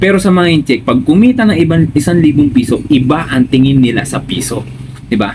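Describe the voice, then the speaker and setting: A man with a fairly high voice talks at a fairly quick pace with hardly any pauses and ordinary pitch variation, over noticeable background noise. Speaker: business vlogger. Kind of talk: casual chat.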